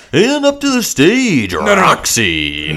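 A man puts on a character voice with a high pitch. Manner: announcing, showman-like.

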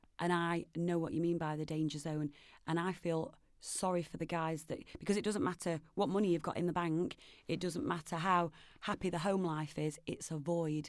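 A woman with a Nottingham accent speaks in a flat monotone at a moderate pace. Her voice is fairly low, and the background is quiet. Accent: Nottingham East Midlands English. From Nottingham, England. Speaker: film producer and charity campaigner. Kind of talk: casual interview chat.

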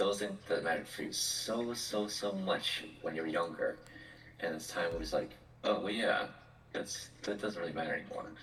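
A man talks at a moderate speed while noticeable noise carries on behind him. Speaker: podcast co-host and speech therapist. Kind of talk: casual chat.

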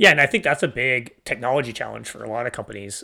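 A man speaks at a very fast pace in a bright, sharp tone with vocal fry. The recording is very clean, with a silent background. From Canada. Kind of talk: interview. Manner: halting, many fillers.

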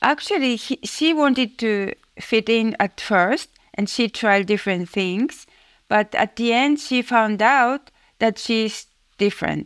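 A woman with a Japanese accent speaks at a very even loudness with ordinary pitch variation, in a dry, close sound with no echo. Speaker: author and finance professional. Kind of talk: interview. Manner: halting.

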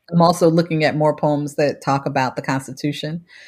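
The speaker has an American accent and a moderate pace. The intonation stays fairly even. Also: woman, very clean recording, silent background. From Cleveland, Ohio. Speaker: poet. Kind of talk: interview.

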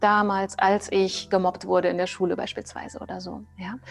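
A woman speaking at a moderate pace. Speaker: trauma therapist. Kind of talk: interview.

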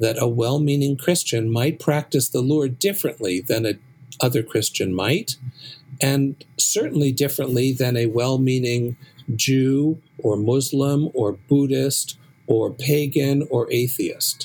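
A man with an American accent has an unremarkable speaking voice, medium pitch, ordinary pitch variation and very even loudness, speaking at a fairly slow pace. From US West Coast, San Francisco. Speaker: rabbi and professor. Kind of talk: interview.

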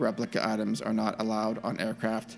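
A man puts on a character voice at a fairly quick pace, with clear background noise behind him.

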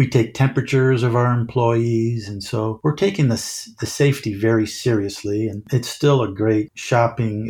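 Recorded very cleanly against a silent background, a man with an American accent speaks at a medium pitch in a dark, mellow, somewhat breathy tone, with big swings in loudness. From central Illinois. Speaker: music store district manager. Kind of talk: interview.

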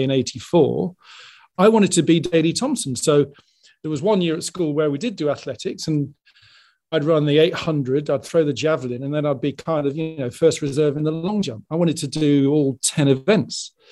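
A man talks at a moderate pace. His voice is fairly high, with a dark, mellow tone. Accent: English. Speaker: sports television executive. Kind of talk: interview.

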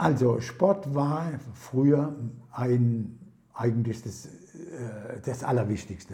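Over audible room echo, a man talks at a very slow pace with long, frequent pauses, his tone dark and mellow and somewhat breathy. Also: medium pitch for a man, ordinary pitch variation. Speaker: retired master baker. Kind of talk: casual interview. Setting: at home over prosecco. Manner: halting, many fillers.

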